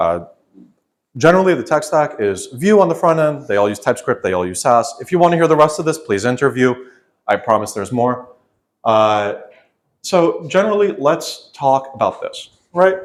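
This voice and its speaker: In a very clean recording with a silent background, a man speaks loudly at a fairly high pitch, his voice making very wide pitch swings between long, frequent pauses. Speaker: software development manager. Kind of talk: conference talk. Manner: fast.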